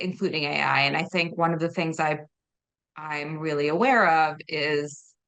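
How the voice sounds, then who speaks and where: A woman speaks with a very deep, low pitch. Her pace is moderate. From Belarus. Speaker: book publicist. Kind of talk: interview.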